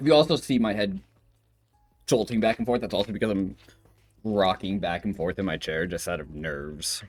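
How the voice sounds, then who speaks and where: A man in a nervous tone with lively intonation, at a fairly quick pace with long, frequent pauses, music in the background. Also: fairly low pitch for a man. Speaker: vtuber streamer. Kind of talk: casual live stream chat. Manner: fast, nervous talker; stumbling over words.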